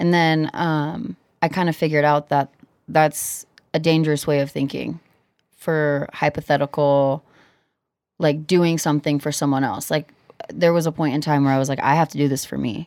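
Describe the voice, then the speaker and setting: A woman's very deep, low voice with an American accent, monotone and flat, at a moderate pace, in a very clean recording with a silent background. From US Midwest, Cedar Rapids, Iowa. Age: 20s. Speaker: singer, designer and entrepreneur. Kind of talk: casual interview.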